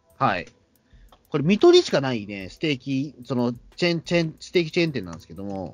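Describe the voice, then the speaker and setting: The speaker talks at a very fast pace, with very wide pitch swings and big swings in loudness. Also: man, medium pitch for a man. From Tokyo, Katsushika (shitamachi). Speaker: podcast host. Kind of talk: casual chat. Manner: halting, many fillers.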